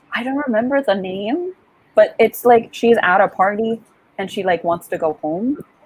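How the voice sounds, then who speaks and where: A woman's fairly high, somewhat breathy voice with an animated tone, lively intonation and a moderate pace. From Puerto Rico. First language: Spanish. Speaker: author and livestream host. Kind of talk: casual chat. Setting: livestream video call.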